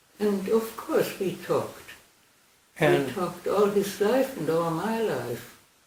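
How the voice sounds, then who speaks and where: Fairly slow speech with noticeable noise behind it. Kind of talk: interview answer.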